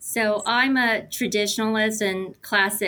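At a fairly slow pace, a woman speaks with monotone, flat intonation. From United States, moved from Korea as a young child. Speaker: nurse and health system technology executive. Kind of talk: podcast interview.

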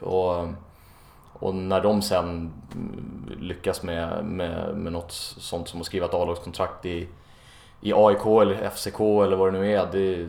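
A man's very deep, low voice in monotone, flat intonation, with long, frequent pauses and audible room echo. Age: 20s. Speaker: youth football coach. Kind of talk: interview. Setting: apartment. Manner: halting, frequent repetitions.

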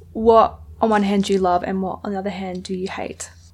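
A woman with a medium-pitched voice talks at a fairly quick pace. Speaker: podcast host. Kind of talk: interview chat. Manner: low energy, contemplative.

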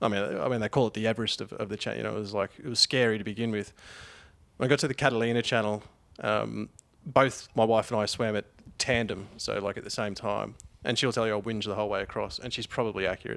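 Talking at a very fast pace with vocal fry, a man with an Australian accent keeps a fairly even intonation in a very clean recording with a silent background. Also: fairly low pitch for a man. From Queensland, Australia. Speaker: long-distance swimmer. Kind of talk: casual chat.

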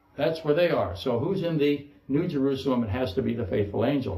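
Over audible room echo, a man speaks at a moderate pace with lively intonation. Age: 60s. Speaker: pastor. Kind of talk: sermon.

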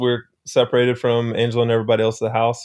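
This man has a medium pitch and speaks with an American accent. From North Texas. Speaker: former professional baseball player. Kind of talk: casual interview chat.

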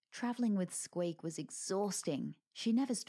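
The background is quiet while an unforced reading voice moves with ordinary pitch variation.

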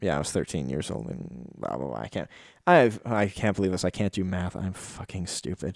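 A man's very deep, low voice with vocal fry, very wide pitch swings and a fairly quick pace. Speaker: solo podcast host. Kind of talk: casual solo monologue.

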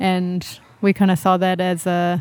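In a very clean recording with a silent background, a woman with a New Zealand accent speaks at a fairly slow pace. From New Zealand, Whangarei. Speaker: singer-songwriter. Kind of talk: casual chat. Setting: donut shop and restaurant.

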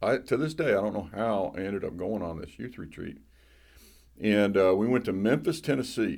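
A man with a Southern US accent speaks at a fairly low pitch, his intonation lively. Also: moderate pace. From US South. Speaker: pastor.

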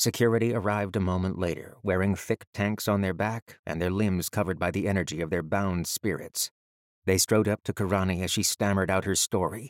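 Fairly quick and fairly even in intonation, a man speaks at a fairly low pitch in an ordinary speaking voice. The recording is very clean, with a silent background. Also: dry, close sound with no echo. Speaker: audiobook narrator. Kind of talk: literary audiobook reading of a fantasy novel excerpt.

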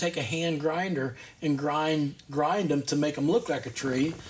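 Noticeable background noise sits under a man speaking at a fairly high pitch with an American accent. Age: 60s. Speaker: woodcarver, retired. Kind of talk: interview. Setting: studio.

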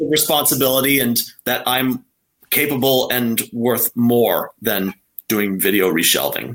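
A plain, everyday voice from a man, medium in pitch, with ordinary pitch variation, a fairly slow pace and very even loudness. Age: 30s. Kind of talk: interview.

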